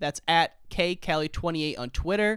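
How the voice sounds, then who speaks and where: Delivered at a moderate pace with an energetic tone and ordinary pitch variation, the speech comes from a very clean recording with a silent background. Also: man. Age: 30s. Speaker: podcast host. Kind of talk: interview. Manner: energetic, casual.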